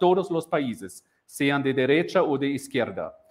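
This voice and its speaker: A man keeps a fairly slow pace and ordinary pitch variation, with the background quiet. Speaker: university lecturer. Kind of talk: lecture. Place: classroom. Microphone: lapel.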